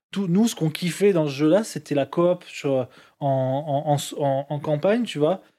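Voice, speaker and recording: Recorded very cleanly with a silent background, a man speaks in a fairly high pitch with a dark, mellow tone and ordinary pitch variation. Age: 30s. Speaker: gamer. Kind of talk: casual chat.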